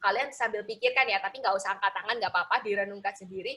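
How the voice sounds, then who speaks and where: A woman's bright, sharp tone with a Javanese accent. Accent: Javanese (medok) Indonesian. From Indonesia, Surabaya (East Java). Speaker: motivational speaker for students. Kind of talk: motivational talk to teenagers. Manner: casual, conversational.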